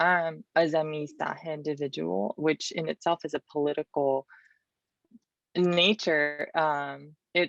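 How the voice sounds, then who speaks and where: A woman's very deep, low voice at a very slow pace with ordinary pitch variation. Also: dry, close sound with no echo. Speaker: poet and activist. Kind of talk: interview. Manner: halting.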